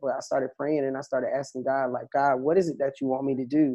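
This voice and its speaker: In an American accent, a man with a dark, mellow tone speaks at fairly high pitch with monotone, flat intonation. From US South. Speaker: country singer. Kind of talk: interview.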